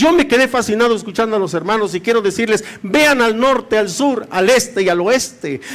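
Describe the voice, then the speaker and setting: Amid noticeable background noise, a man with an extremely high pitch talks at a moderate pace in an animated tone with ordinary pitch variation. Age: 60s. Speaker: pastor. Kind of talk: sermon. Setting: church.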